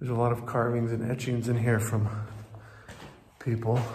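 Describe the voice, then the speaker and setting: Light background noise behind a male speaker. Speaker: travel vlogger. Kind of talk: casual vlog chat. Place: tunnel cave. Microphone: phone near.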